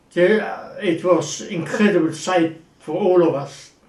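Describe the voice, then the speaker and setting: The voice carries a German accent. Its intonation stays fairly even. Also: man. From Germany, Wuppertal. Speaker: actor. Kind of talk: interview.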